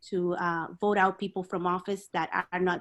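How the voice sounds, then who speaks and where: In a Spanish accent, a woman speaks in a medium pitch with monotone, flat intonation and a dry, close sound with no echo. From Dominican Republic. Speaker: community activist. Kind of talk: panel discussion. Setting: video call. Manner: halting, many fillers.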